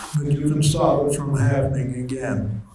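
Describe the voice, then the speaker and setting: Over noticeable background noise and some room echo, a man with a fairly high pitch talks in a flat, monotone way. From Netherlands. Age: 90s. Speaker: Holocaust survivor speaker. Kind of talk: testimony. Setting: school assembly with students.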